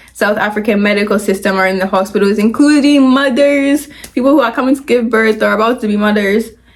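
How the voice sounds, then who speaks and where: Her pitch fairly high, a woman talks against noticeable background noise. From Ghana. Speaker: YouTuber, commentary vlogger. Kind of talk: casual commentary video. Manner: casual, filler-heavy.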